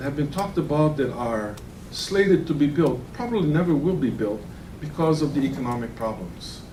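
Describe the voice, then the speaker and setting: Lively in intonation, a man speaks at a fairly quick pace with audible room echo. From Hawaii (Kauai). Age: 60s. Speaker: land use commissioner. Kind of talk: public hearing deliberation statement. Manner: formal.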